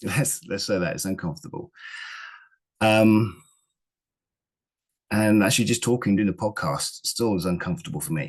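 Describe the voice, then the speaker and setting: Over a quiet background, a man with a fairly low pitch and vocal fry makes very wide pitch swings and takes long, frequent pauses. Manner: halting, speaks in broken sentences; hesitant, not fast or confident-sounding.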